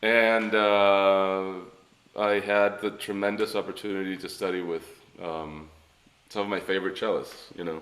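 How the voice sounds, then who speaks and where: This man speaks with a Spanish accent at a fairly low pitch. His delivery is fairly slow, with monotone, flat intonation. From born in Ecuador, raised in Miami from age eight. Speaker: cellist. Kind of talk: interview. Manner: hesitant, many fillers.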